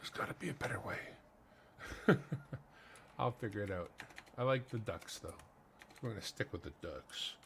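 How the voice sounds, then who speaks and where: With a Manitoban accent, a man talks at a moderate pace, leaving long, frequent pauses. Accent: Canadian (Manitoba). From Canada, Winnipeg. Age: 50s. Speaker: coin collecting streamer. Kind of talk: live stream, casual commentary. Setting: home, living room.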